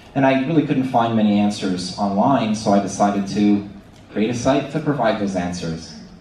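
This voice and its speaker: With a Canadian accent, a man talks at a moderate pace in a fairly low pitch with ordinary pitch variation. Light background noise and audible room echo are present. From Canada. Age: 30s. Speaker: ostomy patient speaker. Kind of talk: conference presentation. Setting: stage with audience. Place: hall.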